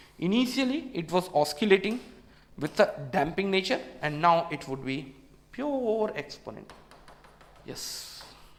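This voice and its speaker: Speaking fairly slowly with an Indian accent, a man with a high voice shows very wide pitch swings, big swings in loudness and long, frequent pauses over noticeable background noise. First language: Hindi. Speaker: engineering exam tutor. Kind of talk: lecture. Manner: repetitive.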